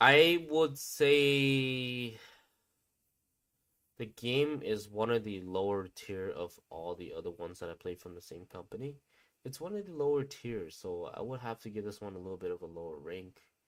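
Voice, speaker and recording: With a non-native accent, a man speaks in very wide pitch swings and big swings in loudness. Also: medium pitch for a man, moderate pace. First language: not English. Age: 30s. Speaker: gaming streamer. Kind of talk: casual live stream chat. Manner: casual, hesitant with fillers.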